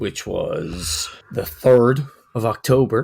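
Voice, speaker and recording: Lively intonation marks a man's somewhat breathy voice in a very clean recording with a silent background. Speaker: podcast co-host. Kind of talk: casual chat.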